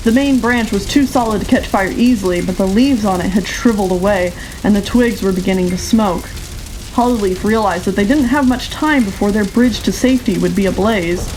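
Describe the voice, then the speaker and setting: A woman is talking, with ordinary pitch variation. Noticeable background noise can be heard behind her. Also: medium pitch for a woman, fairly quick pace. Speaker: audiobook narrator. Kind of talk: audiobook narration.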